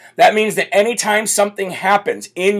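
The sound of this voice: A man speaks loudly at a high pitch, raspy and croaky with vocal fry. His voice also has a slightly husky edge.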